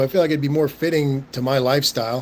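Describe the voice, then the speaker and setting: This man talks at a fairly quick pace in a relaxed tone, his fairly high pitch held to fairly even intonation. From Southern California. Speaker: live stream host. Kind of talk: casual chat reading live chat. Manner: relaxed, halting with fillers.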